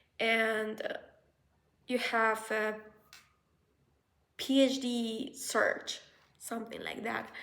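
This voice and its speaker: Amid audible room echo, a woman speaks very slowly at a fairly high pitch in a monotone, flat intonation. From Colombia. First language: Spanish. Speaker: researcher and vlogger. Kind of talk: casual vlog advice. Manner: halting, with fillers.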